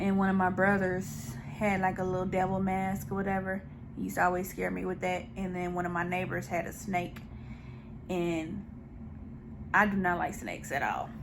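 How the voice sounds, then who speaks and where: A woman at medium pitch, flat and monotone at a moderate pace, with long, frequent pauses and audible room echo. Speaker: mukbang YouTuber. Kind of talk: casual Q&A while eating. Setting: home video recording with ring light.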